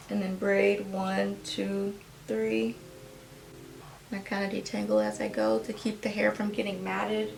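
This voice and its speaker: There is noticeable background noise as a woman talks at a fairly slow pace, pausing long and often. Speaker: hair tutorial creator. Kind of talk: casual tutorial talk to camera.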